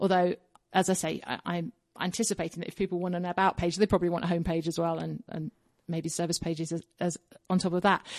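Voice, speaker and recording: A woman with an English accent at a very fast pace, in a monotone, flat intonation, dry and close with no echo. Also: fairly low pitch for a woman. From England, south London suburbs. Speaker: copywriter and actor. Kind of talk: casual interview.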